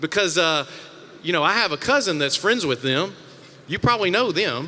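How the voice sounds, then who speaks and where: High-pitched male speech in a Mississippi accent, lively in intonation and very even in loudness. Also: moderate pace. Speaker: panel moderator. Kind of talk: panel discussion. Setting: stage with audience.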